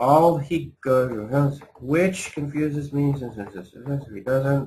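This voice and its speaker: A man mumbles in a put-on character voice pitched fairly high. He speaks at a very slow pace. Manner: mumbling.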